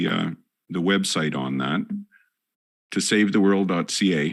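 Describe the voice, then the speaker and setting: A man with a Northern Canadian accent speaks fairly slowly in a very deep, low voice with vocal fry. He leaves long, frequent pauses, and the recording is very clean, with a silent background. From Northern Canada. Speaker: podcast host. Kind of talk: interview. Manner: halting.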